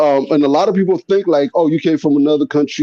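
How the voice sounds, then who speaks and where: A man's fairly high voice, dark and mellow in tone, with a dry, close sound and no echo. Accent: American. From Haiti, grew up in the US. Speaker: panelist in a live stream debate. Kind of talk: casual debate.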